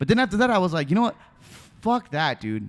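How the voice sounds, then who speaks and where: A man speaks loudly in an animated tone with very wide pitch swings, in a very clean recording with a silent background. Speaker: podcast host. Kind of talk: casual chat.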